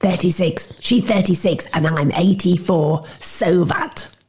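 A man's put-on character voice, high-pitched with a husky, rough edge, slightly mellow in tone, fairly slow, with ordinary pitch variation

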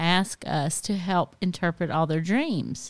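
A woman with a Southern US accent speaks at a medium pitch in a very clean recording with a silent background. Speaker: podcast co-host. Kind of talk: casual chat. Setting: home garage studio.

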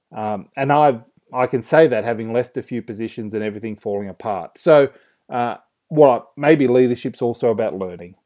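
With an Australian accent, a man talks at a moderate pace in a dark, mellow tone. His pitch varies in an ordinary way over a quiet background. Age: 30s. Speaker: podcast host, youth ministry. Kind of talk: casual solo commentary.

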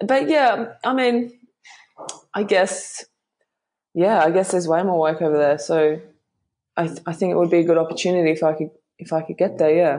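An Australian accent from a woman with a dark, mellow tone, fairly low pitch and ordinary pitch variation, at a moderate pace with long, frequent pauses. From Western Australia (Bunbury). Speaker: model. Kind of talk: interview.

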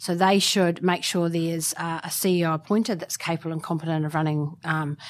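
At a moderate pace, a woman with a New Zealand accent speaks in a fairly low pitch. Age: 40s. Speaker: sports club executive. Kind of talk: interview. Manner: hesitant, many fillers.

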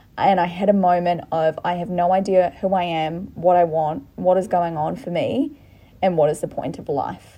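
A woman with an Australian accent speaks in a fairly low pitch with a dark, mellow tone. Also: ordinary pitch variation, moderate pace. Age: 20s. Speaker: podcast co-host. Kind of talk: casual chat.

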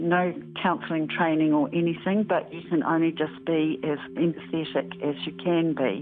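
A woman at a fairly slow pace with fairly even intonation and hardly any pauses, over noticeable background noise. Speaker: former airline ground staff. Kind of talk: interview recollection.

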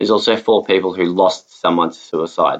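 Man with an Australian accent. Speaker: podcast host. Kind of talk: personal testimony.

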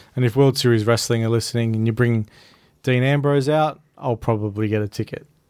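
A man with an Australian accent talks at a fairly quick pace and a medium pitch. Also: fairly even intonation. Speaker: wrestling podcast co-host. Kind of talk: casual chat.

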